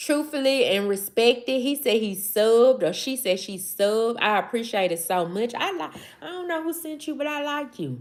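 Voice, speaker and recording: An animated woman with a Southern accent, high-pitched, with very wide pitch swings and hardly any pauses. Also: moderate pace. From US South, Mississippi. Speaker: live streamer. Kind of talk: casual livestream chat. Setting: livestream.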